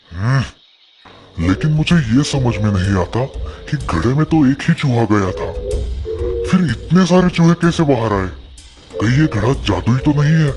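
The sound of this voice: Over faint background music, a man does a cartoonish character voice at medium pitch and a moderate pace.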